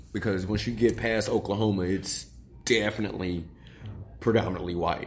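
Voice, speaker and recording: With audible room echo around him, a man speaks at a fairly low pitch and ordinary pitch variation. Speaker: podcast co-host. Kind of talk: casual discussion.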